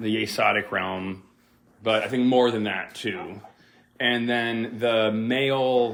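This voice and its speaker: Very slow speech from a man at medium pitch, with fairly even intonation and noticeable background noise. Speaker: podcast co-guest discussing magick. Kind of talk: casual chat. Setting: home living room recording. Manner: loud. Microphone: too close to the mic.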